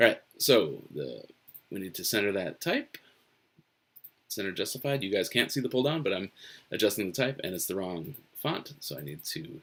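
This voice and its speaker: A man mumbles at a moderate pace in an American accent. His fairly low voice has lively intonation. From US Northeast. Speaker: webcomic artist. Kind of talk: live-stream drawing commentary. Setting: home office, live stream. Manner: mumbles to himself.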